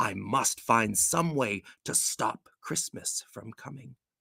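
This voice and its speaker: Put-on character voice from a man, growling, medium in pitch, fairly slow, with lively intonation and a dry, close sound without echo. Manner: growling, scheming.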